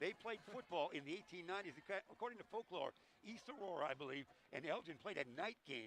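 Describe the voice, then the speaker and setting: A man talks loudly and very fast, animated in tone and lively in intonation. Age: old. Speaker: play-by-play announcer. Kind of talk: live commentary. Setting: broadcast booth at a high school gym.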